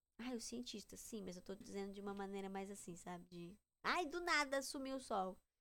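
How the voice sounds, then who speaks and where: Talking at a fairly quick pace, a woman with a medium pitch and a bright, sharp tone uses lively intonation. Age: 20s. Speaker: podcaster. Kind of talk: casual monologue.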